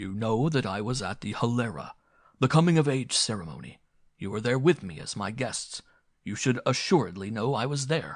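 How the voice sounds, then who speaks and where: A man puts on a character voice at a medium pitch, with lively intonation. He moves at a moderate pace, and his loudness swings in a big way. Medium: read story. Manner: formal, stilted speech without contractions; polite, calm, dignified.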